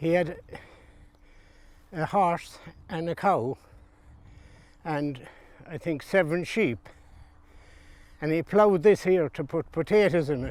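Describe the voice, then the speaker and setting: In a western Irish accent, the speaker talks at a fairly slow pace with ordinary pitch variation and long, frequent pauses. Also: man, high pitch for a man. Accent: rural west of Ireland. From Ireland, County Galway. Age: old. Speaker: retired farmer. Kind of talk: interview storytelling. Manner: halting.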